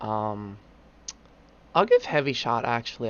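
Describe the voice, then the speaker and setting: A man with a medium-pitched voice speaks at a fairly slow pace. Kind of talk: casual gaming commentary.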